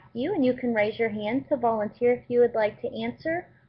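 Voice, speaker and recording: This woman has a Texan accent. She speaks at a high pitch. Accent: Texan American English. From US, Texas. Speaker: online English teacher. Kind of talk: online language class.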